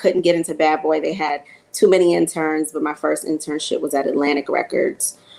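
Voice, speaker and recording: The speaker talks with a New York accent. The intonation stays fairly even. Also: woman. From New York (Queens). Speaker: music marketing executive. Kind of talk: panel discussion.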